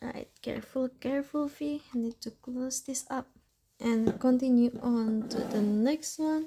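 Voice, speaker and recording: Speaking with a non-native accent, a woman has a high pitch and a dark, mellow tone. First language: not English. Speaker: fountain pen ink reviewer. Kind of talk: casual chatty swatching tutorial. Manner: slow.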